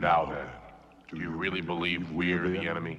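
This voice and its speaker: A man's put-on character voice, very deep and low, flat and monotone at a moderate pace, with an audible echo. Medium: short film. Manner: solemn, probing.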